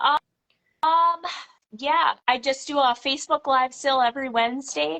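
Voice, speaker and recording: In an American accent, a woman speaks at a high pitch with a bright, sharp tone, heard with a dry, close sound and no echo. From Minnesota. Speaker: farmhouse renovator and vintage seller. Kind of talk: casual chat. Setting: live video call.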